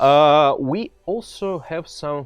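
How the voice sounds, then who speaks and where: A man with a Russian accent over music in the background. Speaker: game community manager. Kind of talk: live stream chat. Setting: studio. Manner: halting.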